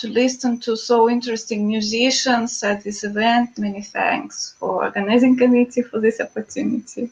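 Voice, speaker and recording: A woman at a high pitch and moderate pace, fairly even in intonation, over noticeable background noise. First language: not English. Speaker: experimental electronic musician. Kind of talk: video call interview. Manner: halting, many fillers.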